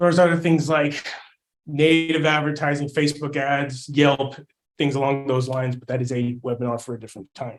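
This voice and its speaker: A man with an unremarkable speaking voice talks at a fairly quick pace, his pitch fairly high and its variation ordinary. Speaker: marketing agency owner giving a webinar. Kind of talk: webinar presentation. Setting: online webinar.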